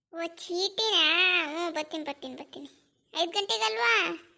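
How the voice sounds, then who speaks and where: Putting on a squeaky, cartoonish character voice, a woman talks at an extremely high pitch with lively intonation and a moderate pace. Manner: mishears, answers loudly.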